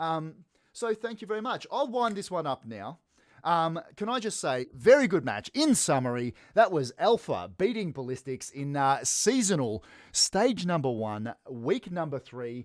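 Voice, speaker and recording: In a very clean recording with a silent background, a man with an Australian accent speaks fairly slowly in a high voice that swings very widely in pitch. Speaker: esports caster. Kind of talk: live commentary wrap-up. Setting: live stream. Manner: casual, energetic.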